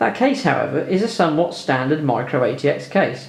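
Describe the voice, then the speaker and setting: Amid noticeable background noise and audible room echo, a man speaks at a fairly quick pace with lively intonation. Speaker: tech YouTuber. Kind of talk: video voiceover tutorial. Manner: dry, sarcastic.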